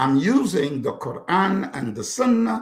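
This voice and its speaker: With an American accent, a man speaks in an animated tone with very wide pitch swings. Vocal fry runs through his voice. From US Midwest (Chicago). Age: 60s. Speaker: author and counselor. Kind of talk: interview conversation.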